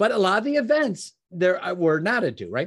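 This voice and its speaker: A man with an American accent talks at a moderate pace. His pitch swings very widely. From Chicago, US Midwest. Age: 60s.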